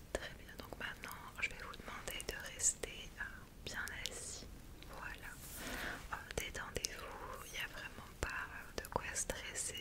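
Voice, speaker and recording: A woman is speaking. Loud background noise fills the clip. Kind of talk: soft-spoken role-play. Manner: soft, slow ASMR doctor voice. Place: home room.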